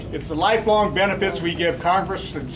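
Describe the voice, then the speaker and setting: A high-pitched man at a fairly quick pace, with audible room echo and music in the background. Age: 60s. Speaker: audience member. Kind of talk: public statement at town hall. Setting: public meeting with audience.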